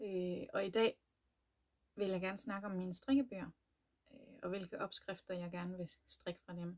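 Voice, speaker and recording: A somewhat breathy woman's voice of medium pitch, with ordinary pitch variation, big swings in loudness and long, frequent pauses. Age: 30s. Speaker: knitting podcaster. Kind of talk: casual chat. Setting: home room, door locked. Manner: hesitant, many fillers.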